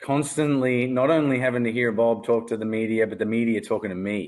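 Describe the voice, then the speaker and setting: A man talks at a fairly quick pace in a medium pitch, with an Australian accent. The background is quiet. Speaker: former pro baseball pitcher. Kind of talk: casual chat.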